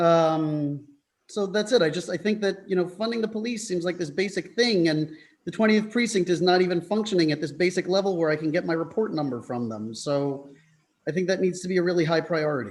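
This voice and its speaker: Speaking fairly quickly with a New York accent, a man uses a high pitch with ordinary pitch variation. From US Northeast, New York City. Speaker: public commenter. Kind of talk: public comment at meeting. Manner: halting.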